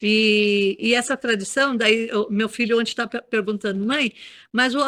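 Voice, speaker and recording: A woman with a bright, sharp tone speaks at a moderate pace with ordinary pitch variation, recorded dry and close with no echo on a very clean recording with a silent background. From Brazil, Carapicuíba, São Paulo state. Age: 60s. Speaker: local tradition keeper and author. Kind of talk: interview. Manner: halting, with repetitions.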